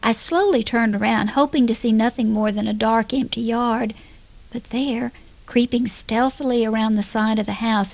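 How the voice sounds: Fairly even intonation in a natural reading voice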